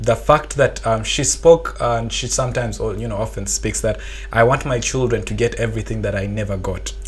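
Against noticeable background noise, the talking goes fairly quickly. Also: man. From Uganda. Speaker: medical graduate. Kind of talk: podcast interview. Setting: studio. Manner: halting.

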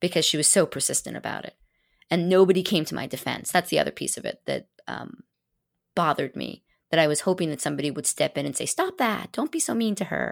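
A woman at a very fast pace, in a very clean recording with a silent background. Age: 50s. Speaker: designer and small business owner. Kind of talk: casual interview. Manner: friendly.

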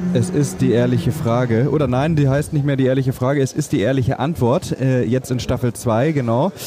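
A man at medium pitch and a fairly quick pace with hardly any pauses, ordinary pitch variation and very even loudness, against noticeable background noise. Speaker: podcast host, film producer. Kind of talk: interview. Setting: book fair.

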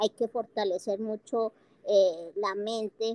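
A woman's fairly high voice, dark and mellow in tone, very slow, in a dry, close sound with no echo. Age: 50s. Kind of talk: interview.

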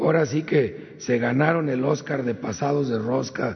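A man speaks over noticeable background noise. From Guanajuato, Mexico. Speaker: government official. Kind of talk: briefing report.

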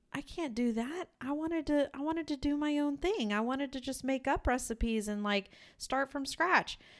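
A woman speaks at a moderate pace with lively intonation. The recording is very clean, with a silent background. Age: 30s. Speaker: podcast co-host and teacher. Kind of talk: casual chat.

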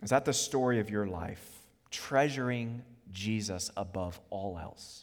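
In a plain, everyday voice, a man with an American accent speaks at a fairly slow pace and fairly low pitch, with ordinary pitch variation. His loudness swings widely, and the recording is very clean with a silent background. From US, Virginia (Charlottesville). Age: 30s. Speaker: preacher. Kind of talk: sermon.

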